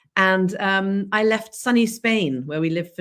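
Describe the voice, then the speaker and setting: With an English accent, a woman speaks at a fairly slow pace and medium pitch, using lively intonation. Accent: very English. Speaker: leadership and storytelling coach. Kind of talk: live-streamed interview podcast.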